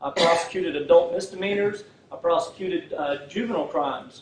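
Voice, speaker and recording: A man's high-pitched voice with a Texan accent, over noticeable background noise. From Texas, Fort Worth. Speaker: prosecutor running for district attorney. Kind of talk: campaign speech. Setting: political rally, no microphone. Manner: halting, many fillers.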